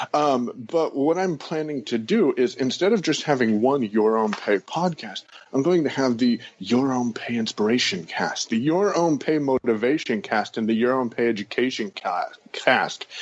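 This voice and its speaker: A man talks with lively intonation and hardly any pauses. Noticeable background noise sits under his voice. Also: medium pitch for a man. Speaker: podcaster, online business coach. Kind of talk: interview answer. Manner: fast-talking.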